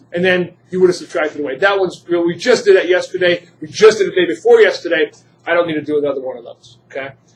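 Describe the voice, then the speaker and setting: Very fast and high-pitched, a man speaks with ordinary pitch variation and big swings in loudness. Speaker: chemistry teacher. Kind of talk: classroom lecture. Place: classroom.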